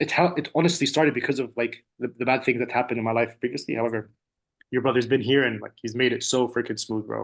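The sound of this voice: Fast and fairly even in intonation, a man talks at medium pitch with vocal fry.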